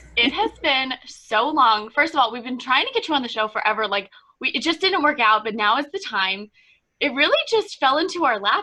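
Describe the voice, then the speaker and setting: Upbeat and enthusiastic, a woman projects her raised voice at a fairly quick pace, her bright, sharp tone climbing to a high pitch with very wide swings. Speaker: podcast host. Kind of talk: casual podcast conversation. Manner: upbeat, enthusiastic.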